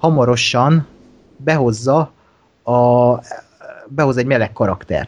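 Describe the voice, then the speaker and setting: Fairly slow speech from a man, medium in pitch, with ordinary pitch variation. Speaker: podcast co-host. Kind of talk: casual chat.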